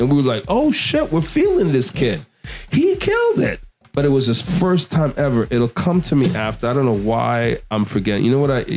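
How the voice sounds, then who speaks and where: Over music in the background, a man talks at a medium pitch. His loudness is very even, and his pace is fairly quick. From Quebec, Montreal area. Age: 50s. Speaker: DJ and radio host. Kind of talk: casual interview chat. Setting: studio. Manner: animated.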